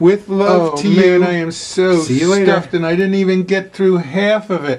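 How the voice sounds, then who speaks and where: A man with a high pitch and an American accent, at a fairly quick pace. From Philadelphia suburbs. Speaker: blues musician. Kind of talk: casual food review to camera. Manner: enthusiastic, upbeat. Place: home room. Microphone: phone near.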